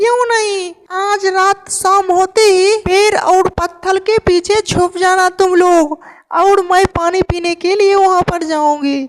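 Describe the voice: A cartoonish character voice talks at a fairly slow pace. There are hardly any pauses. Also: female-sounding voice, extremely high pitch for a woman.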